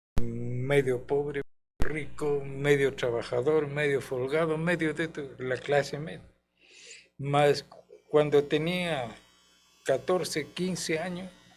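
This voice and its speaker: The delivery is very slow, broken by long, frequent pauses. Intonation stays fairly even. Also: man, fairly high pitch for a man. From Chile, Santiago. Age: 80s+. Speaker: guest witness of dictatorship. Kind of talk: interview testimony.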